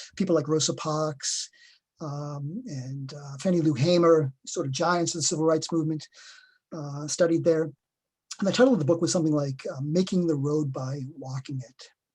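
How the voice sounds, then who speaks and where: Someone with a Boston accent speaks at a moderate pace with ordinary pitch variation. Loudness swings widely over a quiet background. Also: man, fairly high pitch for a man. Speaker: professor. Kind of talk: webinar Q&A answer.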